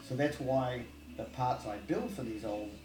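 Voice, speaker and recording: Audible room echo and background music surround a man talking at a medium pitch. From New Zealand. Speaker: vintage motorcycle parts builder and collector. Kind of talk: casual interview.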